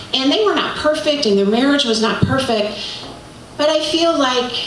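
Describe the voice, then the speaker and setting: Lively intonation carries through noticeable background noise and audible room echo. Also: woman. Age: 60s. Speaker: storyteller and author. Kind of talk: live storytelling. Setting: stage with audience.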